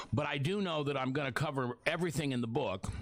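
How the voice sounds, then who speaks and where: Lively intonation runs through a man's speech in an American accent, delivered at a moderate pace. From US Midwest, Beatrice, Nebraska. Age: 60s. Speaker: radio host. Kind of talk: live radio talk. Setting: radio studio. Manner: halting.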